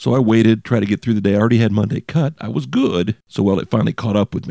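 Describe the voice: A man rattles along at a very fast pace in a raspy, put-on character voice, fairly low with ordinary pitch variation. The sound is dry and close, with no echo.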